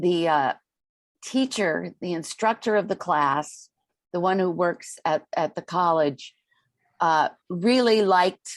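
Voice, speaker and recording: Against a quiet background, a woman speaks at a fairly slow pace with long, frequent pauses. Her voice is fairly low, with ordinary pitch variation. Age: 60s. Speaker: life coach and corporate trainer. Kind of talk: interview conversation. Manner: hesitant, many fillers.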